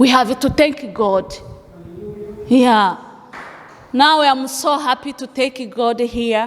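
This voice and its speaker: Against noticeable background noise, a woman talks at a very slow pace. Her pitch is high with ordinary variation. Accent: non-native. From Africa. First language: not English. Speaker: refugee giving testimony. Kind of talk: testimony. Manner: halting.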